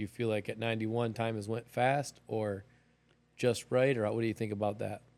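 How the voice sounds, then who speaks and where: Fairly quick speech comes from a man with a fairly low voice. His intonation is monotone and flat. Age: 40s. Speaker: podcast host. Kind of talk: podcast interview questions.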